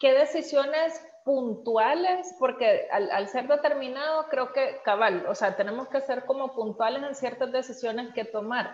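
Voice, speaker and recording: In a Salvadoran accent, a woman talks fairly slowly in a high voice with ordinary pitch variation. Noticeable background noise is present. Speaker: podcast host. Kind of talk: interview.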